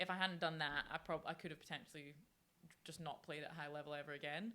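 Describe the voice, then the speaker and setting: A woman with a Scottish accent speaks at a very fast pace in a very deep, low pitch. Her tone is bright and sharp, with fairly even intonation. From Scotland, Fife. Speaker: professional rugby player. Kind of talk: podcast interview.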